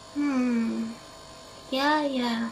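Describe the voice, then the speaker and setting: A woman speaks in a put-on character voice. Background noise is clearly audible. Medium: audio drama.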